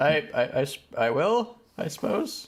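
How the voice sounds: Using a put-on character voice, a man speaks at a fairly slow pace and a fairly high pitch with big pitch swings.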